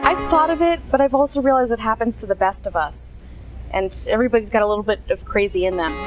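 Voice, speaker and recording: Music plays in the background as a woman talks. She speaks at a very fast pace with an American accent. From USA. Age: young. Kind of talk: interview answer.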